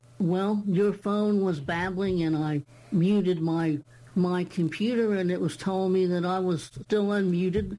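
A woman's dark, mellow voice at a medium pitch, fairly slow and fairly even in intonation, with very even loudness. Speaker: book talk co-host. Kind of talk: casual chat.

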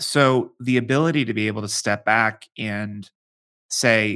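A man with an American accent speaks in a bright, sharp tone with ordinary pitch variation. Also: very clean recording, silent background. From Pittsburgh, Pennsylvania. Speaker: demographic futurist and author. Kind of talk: interview.

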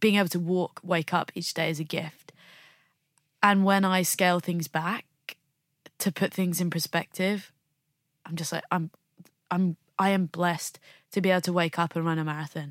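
In a southern English accent, a woman with a fairly low pitch speaks at a moderate pace in a monotone, flat way, with long, frequent pauses, on a very clean recording with a silent background and a dry, close sound with no echo. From England, Bromley (south-east London). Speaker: Olympic snowboarder. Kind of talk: interview.

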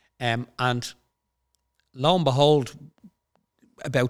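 The recording is very clean, with a silent background. A man speaks with fairly even intonation. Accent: Irish. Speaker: company CEO. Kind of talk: casual chat.

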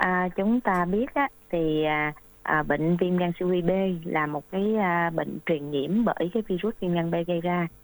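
At a fairly slow pace, a woman with a fairly low pitch speaks with ordinary pitch variation and very even loudness. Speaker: doctor. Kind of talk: expert Q&A on health radio. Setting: radio studio. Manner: halting, many filler sounds.

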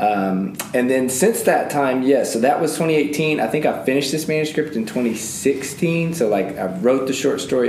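Someone with a Southern US accent talks at a moderate pace with hardly any pauses and ordinary pitch variation, over noticeable background noise. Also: man. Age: 30s. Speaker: author and school teacher. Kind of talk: casual interview.

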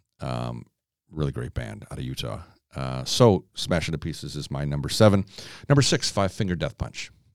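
With an American accent, a man speaks at a very deep, low pitch with vocal fry. His pace is moderate. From Chicago. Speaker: podcast host. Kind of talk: casual chat.

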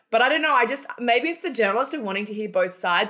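A woman with an Australian accent talks at a very fast pace. Her pitch swings very widely. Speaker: company founder and former journalist. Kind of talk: interview.

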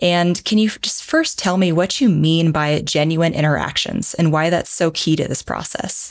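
Moving at a moderate pace with hardly any pauses, a woman speaks in an ordinary speaking voice. Her pitch is fairly low and her intonation fairly even. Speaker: podcast host. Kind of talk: podcast interview, scripted intro.

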